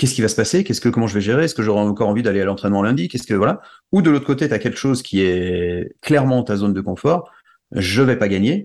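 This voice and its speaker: A man talks at a very fast pace with lively intonation. His pitch is fairly low, and the background is quiet. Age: 40s. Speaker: musician, conductor and wakesurf athlete. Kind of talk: interview. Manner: halting, with many repetitions.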